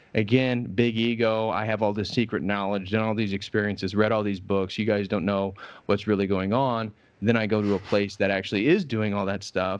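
Fairly low in pitch, a man speaks with a Midwestern American accent and fairly even intonation. The background is quiet. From US Midwest, Indiana. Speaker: religious scholar and YouTuber. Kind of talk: casual interview conversation.

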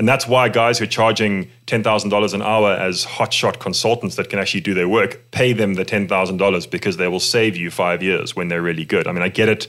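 A man's normal speaking voice, fairly low in pitch, at a fairly quick pace with hardly any pauses and fairly even intonation. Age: 30s. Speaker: tech startup founder and CEO. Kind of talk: casual interview chat.

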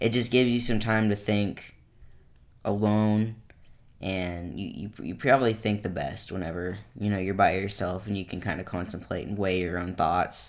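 A man talks at a moderate pace with a fairly low pitch and fairly even intonation in an ordinary speaking voice. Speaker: podcast co-host.

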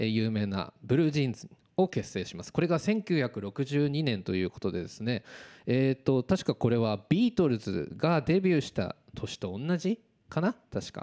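A dark, mellow voice moves at a moderate pace through very wide pitch swings. The recording is very clean and silent in the background, with a dry, close sound and no echo. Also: man. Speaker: amateur gossip radio DJ. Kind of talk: casual radio talk show. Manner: stumbling over words.

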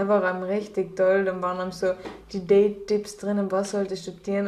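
A woman speaks at a fairly quick pace with a strong Austrian accent, her medium-pitched voice flat and monotone. Noticeable background noise runs under the recording. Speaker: podcast co-host. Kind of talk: casual chat.

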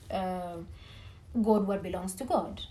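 With a dark, mellow tone and some vocal fry, a woman speaks at medium pitch and a moderate pace. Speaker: team leader and businesswoman. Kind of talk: interview. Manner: halting.

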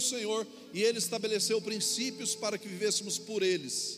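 Over noticeable background noise, a man with a high-pitched voice talks at a fairly quick pace with fairly even intonation. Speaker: pastor. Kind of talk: sermon. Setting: church.

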